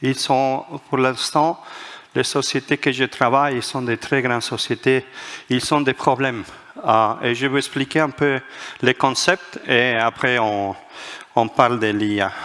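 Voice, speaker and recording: Very slow and marked by long, frequent pauses, a man speaks at a medium pitch. His intonation stays fairly even. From Spain, Madrid. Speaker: management author and speaker. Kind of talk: conference talk. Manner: halting, many hesitations.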